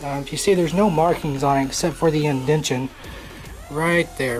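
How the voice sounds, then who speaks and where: A man with an American accent at a fairly high pitch, fairly quick pace and fairly even intonation, with music in the background. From Oklahoma, small town. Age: 20s. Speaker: drummer, YouTuber. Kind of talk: casual vlog self-introduction. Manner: hesitant, many fillers.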